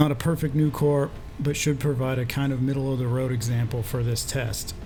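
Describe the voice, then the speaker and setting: Soft-spoken and monotone, a man with medium pitch talks at a fairly quick pace over background music, with audible room echo. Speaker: gaming youtuber. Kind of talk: scripted narration.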